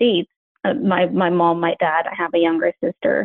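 A woman speaking at a moderate pace. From Mexico, Ciudad Juarez. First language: Spanish. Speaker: engineering manager. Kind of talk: interview.

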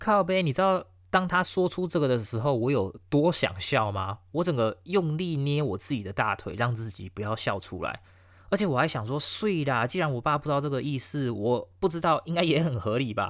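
On a very clean recording with a silent background, a man speaks at a moderate pace with a fairly high pitch and very wide pitch swings. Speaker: podcast host. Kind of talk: casual storytelling monologue.

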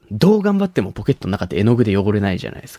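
A man's fairly low voice with a dark, mellow tone, very fast and swinging very widely in pitch, in a dry, close sound with no echo. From Nagasaki, Japan (Shimabara). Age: 20s. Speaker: comedian. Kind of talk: solo monologue. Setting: studio.

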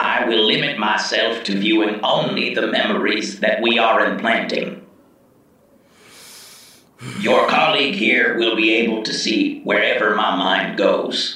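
There is a slight echo as a man does a put-on character voice at a medium pitch and moderate pace.

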